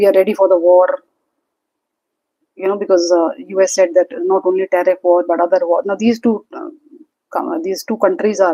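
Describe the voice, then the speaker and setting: Dark, mellow tone with ordinary pitch variation and long, frequent pauses, in a dry, close sound with no echo. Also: woman. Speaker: stock market commentator. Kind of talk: livestream market commentary. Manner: fast; hesitant with fillers.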